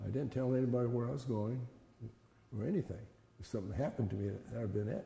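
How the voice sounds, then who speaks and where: A man's very fast American-accented speech with long, frequent pauses, somewhat breathy and dark, mellow in tone, at a medium pitch with ordinary pitch variation. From Fresno, California. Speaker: internment camp survivor. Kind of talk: interview. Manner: halting.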